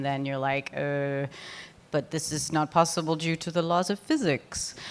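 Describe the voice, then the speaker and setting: The woman's voice is very deep and low in pitch, with fairly even intonation at a moderate pace. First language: French. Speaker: conference speaker. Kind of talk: conference talk Q&A. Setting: stage with audience. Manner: casual, filler-heavy.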